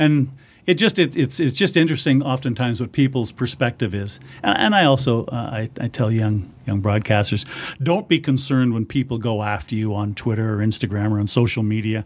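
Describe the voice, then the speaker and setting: A man with a Canadian accent speaks at a fairly quick pace in an unremarkable speaking voice, his medium pitch showing ordinary pitch variation. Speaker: hockey radio play-by-play announcer. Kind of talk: casual interview chat.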